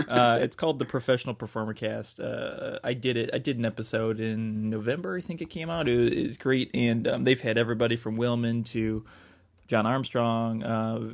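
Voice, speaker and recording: A man speaks at a fairly quick pace in a medium pitch with fairly even intonation. The recording is very clean, with a silent background. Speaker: magician podcast co-host. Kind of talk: casual chat. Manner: low-key; flat, subdued delivery.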